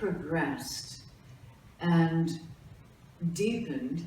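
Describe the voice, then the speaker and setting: Very slow speech with very wide pitch swings and long, frequent pauses, over noticeable background noise and audible room echo. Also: woman. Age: 60s. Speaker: gallery director and photographer. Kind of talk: documentary interview. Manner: halting, with many fillers.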